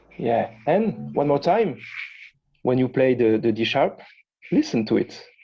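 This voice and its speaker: Over background music, a man at medium pitch speaks fairly slowly with lively intonation, very even loudness, and long, frequent pauses. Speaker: guitar teacher giving a masterclass. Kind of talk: masterclass teaching. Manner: halting, many repetitions.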